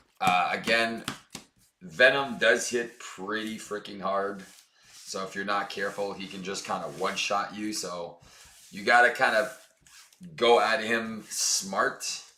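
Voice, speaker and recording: A man's loudness swings widely, broken by long, frequent pauses. Room echo is audible. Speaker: board game streamer. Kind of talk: gameplay commentary. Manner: casual, with many fillers.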